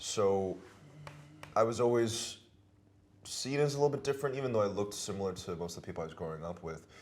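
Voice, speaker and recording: Speaking at a very fast pace yet with long, frequent pauses, a man with a fairly low pitch and lively intonation is heard amid audible room echo. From Hong Kong and Taipei. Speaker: actor. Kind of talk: interview.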